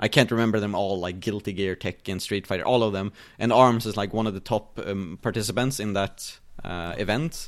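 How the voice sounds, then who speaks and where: A man talks with a Swedish accent at a fairly low pitch. His intonation stays fairly even. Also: fairly quick pace. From Sweden. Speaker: esports player and caster, streamer, podcast host. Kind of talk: casual interview chat. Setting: remote call.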